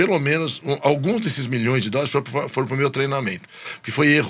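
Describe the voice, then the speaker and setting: Speaking at a fairly quick pace, a man uses an ordinary speaking voice at a medium pitch. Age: 60s. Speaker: business executive. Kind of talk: podcast interview.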